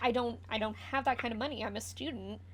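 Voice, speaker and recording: A put-on character voice sits at a fairly high pitch. It races along at a very fast pace. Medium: actual play. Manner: stammering, anxious.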